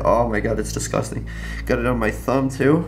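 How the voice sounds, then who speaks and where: Music is playing behind the speaker. He is a man talking at a fairly quick speed. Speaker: vlogger. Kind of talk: casual vlog chat. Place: home room. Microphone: phone near.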